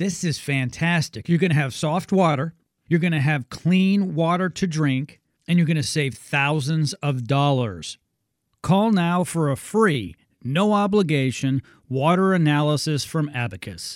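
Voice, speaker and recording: Using an unremarkable speaking voice, a man talks at a fairly slow pace and a fairly high pitch with ordinary pitch variation. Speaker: radio host. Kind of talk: infomercial-style sales pitch. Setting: radio studio. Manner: pushy, upbeat, repeating the phone number.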